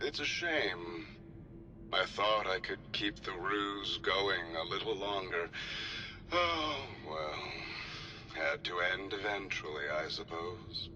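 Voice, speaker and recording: A man puts on a character voice at a fairly low pitch and a fairly slow pace. Loud background noise fills the recording. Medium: machinima. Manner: smooth, unhurried.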